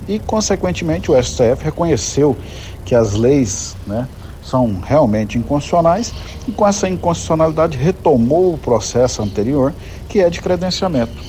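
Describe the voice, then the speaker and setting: A man with a fairly high pitch speaks with very wide pitch swings over noticeable background noise. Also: moderate pace. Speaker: state transit agency head. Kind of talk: recorded voice message.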